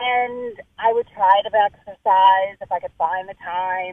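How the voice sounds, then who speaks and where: This is a woman at a medium pitch. She has a plain, everyday voice. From New Jersey. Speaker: journalist and cancer survivor. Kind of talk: interview.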